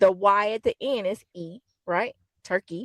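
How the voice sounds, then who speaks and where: A woman's animated, medium-pitched voice at a fairly slow pace, dry and close with no echo. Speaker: podcast co-host. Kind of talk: casual chat. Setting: in a car. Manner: giggly.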